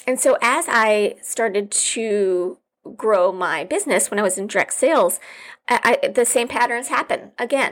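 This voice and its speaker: Over a very clean recording with a silent background, a woman with an unremarkable speaking voice and fairly high pitch talks at a moderate pace, her loudness very even and her pitch variation ordinary. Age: 40s. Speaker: podcast host and business coach. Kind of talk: solo podcast monologue. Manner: casual with frequent fillers.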